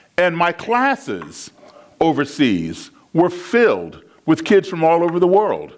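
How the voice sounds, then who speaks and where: Lively intonation in an American accent. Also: man. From US, raised largely abroad (Africa, Europe) and Chicago. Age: 60s. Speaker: public speaker. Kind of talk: keynote talk. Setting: stage with audience.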